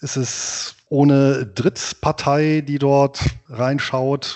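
This is a man's voice with a fairly high pitch. His intonation stays fairly even. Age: 40s. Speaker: finance blogger and author. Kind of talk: interview conversation.

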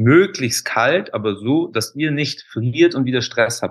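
Very slowly, a man speaks. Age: 30s. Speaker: alkaline bath practitioner, former golf instructor. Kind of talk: interview.

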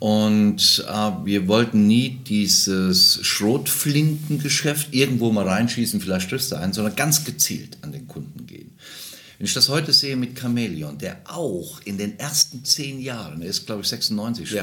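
A man's voice swings very widely in pitch and shows big swings in loudness. Noticeable background noise runs underneath. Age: 60s. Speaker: travel entrepreneur and charity founder. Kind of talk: casual chat. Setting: trade fair in Berlin.

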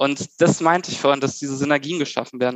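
An unremarkable speaking voice with fairly even intonation at a fairly quick pace. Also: man. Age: 30s. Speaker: civil engineer. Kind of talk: casual chat.

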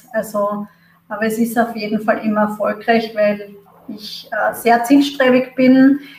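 Over noticeable background noise, the speech moves at a fairly slow pace in a monotone, flat intonation. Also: woman, fairly high pitch for a woman. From Austria. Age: 30s. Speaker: marketing manager. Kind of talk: interview. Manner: hesitant, many fillers.

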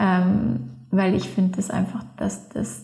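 Noticeable background noise sits behind a woman speaking at a medium pitch and a fairly slow pace. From Allgäu, southern Germany. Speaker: freeskier and filmmaker. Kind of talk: interview. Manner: halting, many fillers.

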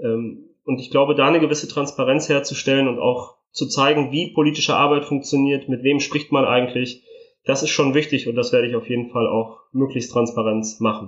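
Fairly quick and fairly even in intonation, a man speaks at a fairly high pitch in a plain, everyday voice. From northern Italy, raised in Germany from age 3. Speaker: member of parliament. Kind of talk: interview.

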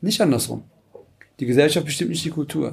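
Here a man speaks at a fairly high pitch with ordinary pitch variation and vocal fry. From Cologne-Porz, Germany, Turkish family. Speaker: panel guest. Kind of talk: panel discussion.

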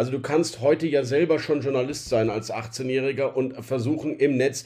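A man with a dark, mellow tone talks fairly quickly at a medium pitch. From Rhineland, Germany. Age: 40s. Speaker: newspaper editor-in-chief. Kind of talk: interview. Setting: home office.

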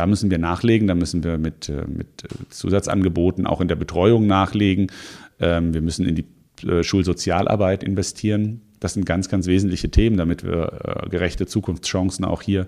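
Very deep and low, a man's voice carries a dark, mellow tone and fairly even intonation at a moderate pace. The recording is very clean, with a silent background. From Hesse, Offenbach district near Frankfurt. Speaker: mayoral candidate. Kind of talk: political interview. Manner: hesitant fillers.

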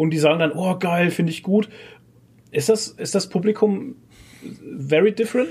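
This man talks at a moderate pace with a high pitch, ordinary pitch variation, and long, frequent pauses. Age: 30s. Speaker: podcast host. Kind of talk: casual chat.

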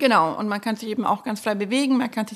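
A woman speaks with an unremarkable speaking voice. Her pitch is fairly high and her intonation fairly even. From Marktredwitz, Upper Franconia. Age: 30s. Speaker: florist and nursery co-owner. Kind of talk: casual interview.

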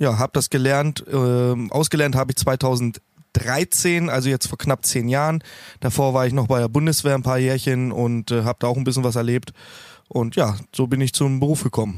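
On a very clean recording with a silent background and a dry, close sound with no echo, a man with a plain, everyday voice speaks at medium pitch and a moderate pace, with very even loudness and fairly even intonation. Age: 30s. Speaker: heating installer and community founder. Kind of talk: casual interview.

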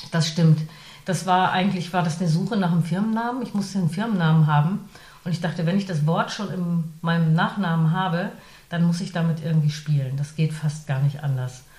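Fairly quick and somewhat breathy, a woman's voice sits at a fairly low pitch with ordinary pitch variation. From northern Germany. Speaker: radio presenter and voice artist. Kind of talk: interview. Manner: hesitant with frequent fillers.

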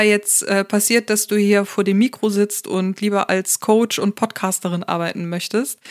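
In a normal speaking voice, a woman speaks fairly slowly at a fairly high pitch. The sound is dry and close with no echo, and the recording is very clean with a silent background. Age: 30s. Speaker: podcast host, psychotherapy practitioner and coach. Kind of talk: solo podcast monologue. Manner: casual with many fillers.

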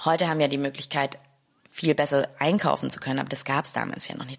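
A woman speaks with a very deep, low pitch and monotone, flat intonation. Noticeable background noise is present. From Stuttgart, Germany. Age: 30s. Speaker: chef and restaurant owner. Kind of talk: interview.

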